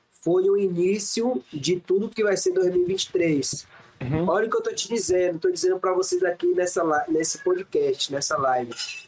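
A man at a moderate pace, with hardly any pauses and very even loudness, over noticeable background noise. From Salvador, Bahia, Brazil. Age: 20s. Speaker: professional acrobat. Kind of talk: casual interview chat.

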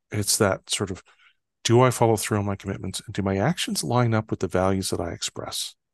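A man with a Canadian accent speaks fairly quickly in a fairly low pitch, in an unremarkable speaking voice. His pitch varies in an ordinary way, and the background is quiet. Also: dry, close sound with no echo. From northern Canada. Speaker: trust expert and author. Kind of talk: interview conversation.

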